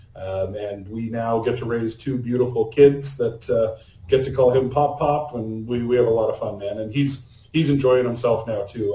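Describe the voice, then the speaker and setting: A man with a Canadian accent speaks at a moderate pace in a medium pitch, with a dark, mellow tone, a somewhat breathy quality and fairly even intonation. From Canada. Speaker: AI consultant. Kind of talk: podcast interview. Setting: remote call.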